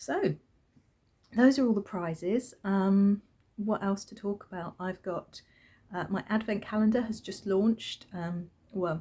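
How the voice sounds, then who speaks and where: Soft-spoken and somewhat breathy, a woman with a British accent and a dark, mellow tone speaks at a fairly slow pace with long, frequent pauses and big swings in loudness. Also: medium pitch for a woman, ordinary pitch variation. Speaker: crafting podcaster and yarn dyer. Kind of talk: casual chat. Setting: at home with newborn son. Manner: hesitant, many fillers.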